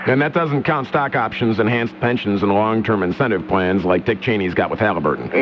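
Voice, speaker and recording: Music plays behind a man whose fairly low voice rises and falls in lively intonation. He talks fairly quickly with hardly any pauses, his loudness very even. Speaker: talk radio host. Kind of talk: talk radio hosting. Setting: studio.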